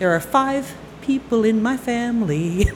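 A woman speaks with lively intonation, and the room echo is audible. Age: 60s. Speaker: army veteran and storyteller. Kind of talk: live storytelling. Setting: stage with audience.

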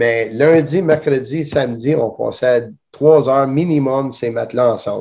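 Speaking at a fairly slow pace, a man's voice comes through with a quiet background. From Elmer. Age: 40s. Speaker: jiu-jitsu instructor. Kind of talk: interview. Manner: halting.

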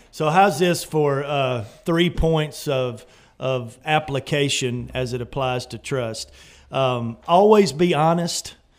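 A man speaks in a Southern US accent at a very slow pace. His fairly high pitch shows ordinary variation. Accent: Southern American. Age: 50s. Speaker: pastor. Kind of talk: radio talk show.

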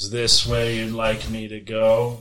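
A man in a put-on character voice, medium pitch, fairly slow pace. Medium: actual play. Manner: cold, flat, fatalistic.

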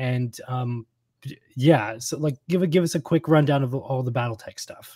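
A man with a medium-pitched, somewhat breathy voice speaks at a moderate pace with ordinary pitch variation, in a dry, close sound with no echo. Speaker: podcast host. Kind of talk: casual chat.

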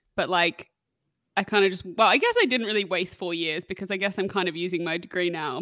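On a very clean recording with a silent background, a woman at medium pitch speaks with an Australian accent in a dry, close sound with no echo. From Western Australia, Perth. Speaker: hospitality charity founder and podcast host, former chef. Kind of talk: casual interview chat. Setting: home recording with street noise outside.

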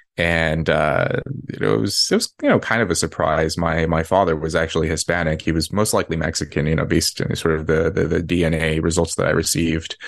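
A man's very deep, low voice with an American accent, fairly even intonation and a very fast pace over noticeable background noise. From California, US. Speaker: author and Air Force veteran. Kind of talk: casual interview.

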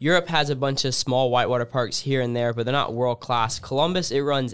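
This man has a plain, everyday voice at a medium pitch. He talks at a fairly quick pace. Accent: American. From US South, Alabama. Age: young. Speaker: freestyle kayaker. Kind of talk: casual interview.

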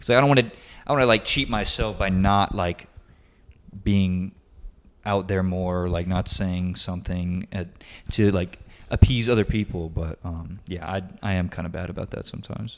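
With fairly even intonation and a moderate pace, a man's very deep, low voice comes through a very clean recording against a silent background. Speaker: podcast co-host. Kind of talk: casual chat.

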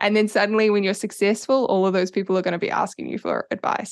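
Against a quiet background, a woman with a New Zealand accent speaks with fairly even intonation. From New Zealand, Auckland. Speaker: social media strategist. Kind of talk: interview.

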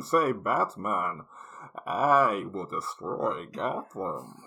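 The man's voice is a put-on character. His delivery comes at a very slow pace. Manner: menacing.

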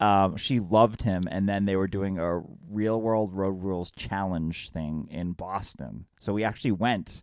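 A man with an unremarkable speaking voice talks at a fairly slow pace and fairly low pitch, with fairly even intonation. The recording is very clean, with a silent background. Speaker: podcast host. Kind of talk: casual chat, interview between friends.

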